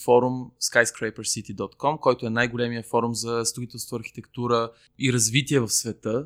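On a very clean recording with a silent background, a man talks at a moderate pace. He has a plain, everyday voice at medium pitch. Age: 30s. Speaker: civic activist, NGO co-founder. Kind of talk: casual interview chat. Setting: recording in a bar, early Saturday morning.

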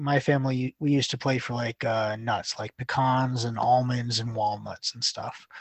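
A man speaks in an unremarkable speaking voice, medium in pitch with ordinary pitch variation. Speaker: Sunday school teacher. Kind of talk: casual chat.

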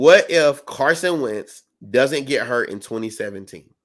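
In an ordinary speaking voice at medium pitch, a man with an American accent talks with lively intonation on a very clean recording with a silent background. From South Carolina. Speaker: sports podcast co-host. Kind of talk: casual chat.

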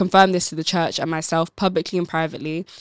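A woman with an ordinary speaking voice and a fairly low pitch speaks at a fairly quick pace. The recording is very clean, with a silent background. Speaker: book club podcast co-host. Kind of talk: casual chat discussing a book.

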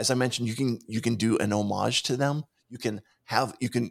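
A man with an American accent and vocal fry speaks at a medium pitch in monotone, flat intonation, the sound dry and close with no echo on a very clean recording with a silent background. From Pittsburgh, US. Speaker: motivational speaker and podcast producer. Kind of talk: casual interview. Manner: talkative.

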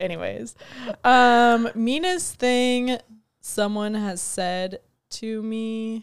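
Mumbling at a very slow pace, a woman speaks with a fairly high pitch and ordinary pitch variation. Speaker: podcast co-host. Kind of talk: casual banter, comedic chat. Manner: interrupts, mumbles.

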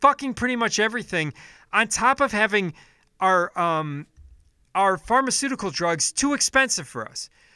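With an American accent, a man projects a raised, high-pitched voice of bright, sharp tone and lively intonation, captured dry and close with no echo in a very clean recording over a silent background. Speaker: political podcast host. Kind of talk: angry political rant, profanity-laden solo monologue. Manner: furious and exasperated, swearing heavily; frequent filler ums, stumbling restarts.

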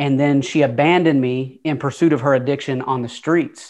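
Against a quiet background, a man with a Southern US accent speaks at a moderate pace and medium pitch. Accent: Southern US, noticeable twang. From Atlanta, Georgia. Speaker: motivational speaker. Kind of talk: casual interview, storytelling.

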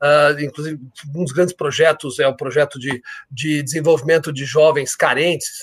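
A man with a fairly high, somewhat breathy voice speaks at a moderate pace. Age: 50s. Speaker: insurance company executive. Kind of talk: interview. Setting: live stream. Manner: energetic.

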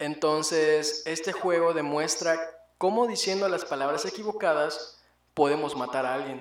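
At a moderate pace, a speaker in a Mexican accent uses ordinary pitch variation, with audible room echo around the voice. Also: man, fairly high pitch for a man. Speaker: podcast co-host. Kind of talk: casual chat.

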